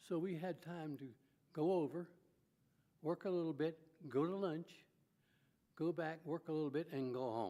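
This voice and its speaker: The voice has a dark, mellow tone and a moderate pace. Long pauses come often. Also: man, fairly high pitch for a man. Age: 80s+. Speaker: eulogy speaker at a funeral. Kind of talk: eulogy. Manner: halting, many fillers.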